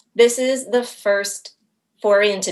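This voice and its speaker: A woman speaks with an American accent. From Maine, US. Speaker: small business owner, dog treat baker. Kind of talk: casual interview. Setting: call.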